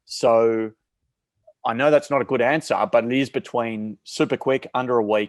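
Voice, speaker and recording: A man with an Australian accent at a medium pitch and moderate pace, with ordinary pitch variation, in a very clean, silent-background recording with a dry, close sound and no echo. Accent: thick Australian. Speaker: marketplace company CEO. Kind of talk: podcast interview.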